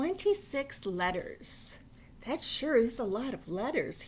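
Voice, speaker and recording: Doing a put-on character voice with very wide pitch swings, a woman speaks high and at a fairly slow pace over clear background noise. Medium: read story. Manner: excitable, cheerful.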